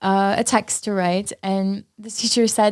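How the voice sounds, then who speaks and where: Monotone, flat intonation in an Armenian accent. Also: woman. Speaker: paramedical tattoo artist. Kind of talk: casual chat.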